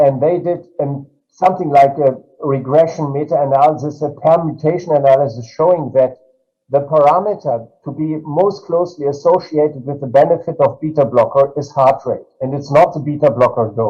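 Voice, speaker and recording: At a moderate pace, a man with a German accent speaks in a fairly high, somewhat breathy voice with fairly even intonation. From Germany. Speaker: cardiology professor. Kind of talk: panel discussion. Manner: halting.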